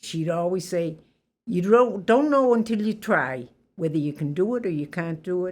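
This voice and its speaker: A woman speaks at a fairly low pitch with a slight Boston accent. Her intonation is lively. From Boston, Massachusetts (Roxbury). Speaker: interviewee sharing life story. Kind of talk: life story interview.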